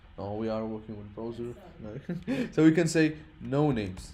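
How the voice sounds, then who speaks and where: At a fairly slow pace, a voice with lively intonation carries audible room echo. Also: man. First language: not English (English is his third language). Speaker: programming teacher. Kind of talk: lecture. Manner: halting.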